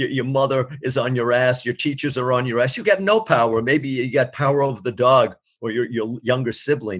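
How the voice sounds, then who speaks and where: A man with an American accent talks at a fairly quick pace. He has an ordinary speaking voice with ordinary pitch variation. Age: 60s. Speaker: experimental musician. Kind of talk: interview.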